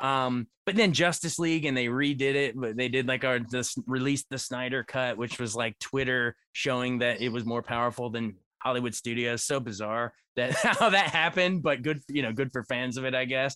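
A man with an ordinary speaking voice talks at a moderate pace and medium pitch, with ordinary pitch variation, hardly any pauses, and a dry, close sound with no echo. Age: 30s. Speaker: entertainment reporter and film critic. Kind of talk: casual chat.

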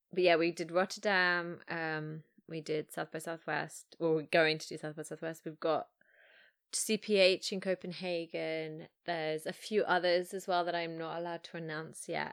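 With an English accent, a woman speaks at a moderate pace in a fairly low pitch, with monotone, flat intonation, big swings in loudness and a dry, close sound with no echo. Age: 30s. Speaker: filmmaker. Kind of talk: casual chat. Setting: remote call.

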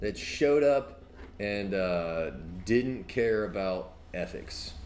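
A man's fairly low voice at a very slow pace, with very wide pitch swings. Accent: American. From US South, Mobile, Alabama. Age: 30s. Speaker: podcast host and amateur comedian. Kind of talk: casual chat. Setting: outdoor porch, live-streamed.

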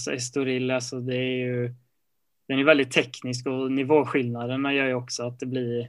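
Over a silent background in a very clean recording, a man at medium pitch speaks in a monotone, flat intonation. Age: 20s. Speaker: racing driver and musician. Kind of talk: interview. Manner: hesitant, many fillers.

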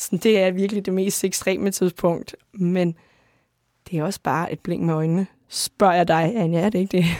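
In a very clean recording with a silent background and a dry, close sound with no echo, a woman speaks at a medium pitch with a dark, mellow tone and fairly even intonation. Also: moderate pace. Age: 30s. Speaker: author. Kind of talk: interview. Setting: studio.

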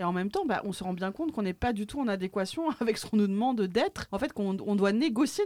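A woman talks very fast at a fairly high pitch. Her intonation is lively. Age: 40s. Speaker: podcast host, fat-acceptance activist. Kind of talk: casual chat. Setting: studio.

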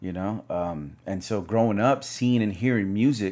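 With an American accent, a man speaks in an unremarkable speaking voice at a fairly low pitch, with ordinary pitch variation. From US South. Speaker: DJ. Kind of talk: casual interview chat. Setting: studio with camera.

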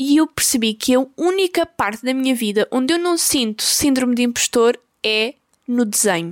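A woman's high voice in a European Portuguese accent, with lively intonation, very even loudness and a moderate pace. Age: 20s. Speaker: podcast host and YouTuber. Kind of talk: casual monologue. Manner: halting, many fillers.

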